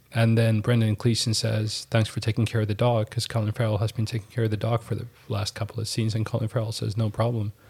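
With hardly any pauses, a man speaks very fast in a somewhat breathy, medium-pitched monotone on a very clean recording with a silent background. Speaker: podcast co-host. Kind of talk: casual chat.

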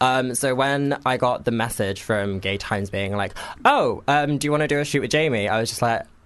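Here a man with a southern English accent speaks at a medium pitch. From Cambridgeshire, England. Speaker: photographer. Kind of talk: casual chat. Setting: studio.

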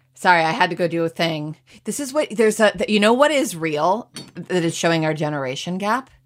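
A woman talks in a normal speaking voice at a fairly low pitch and fairly quick pace, with lively intonation. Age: 40s. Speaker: podcast co-host. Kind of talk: casual chat. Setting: home recording.

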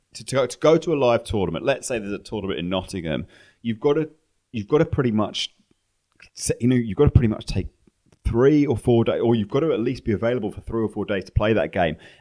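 The delivery comes at a very fast pace with lively intonation. The tone is dark and mellow. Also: man, medium pitch for a man. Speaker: poker pro. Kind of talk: casual interview.

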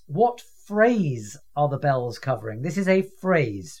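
This man speaks with a British accent at a fairly slow pace. His pitch swings very widely. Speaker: quiz host. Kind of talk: quiz show hosting, casual and witty. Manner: wry, good-humoured.

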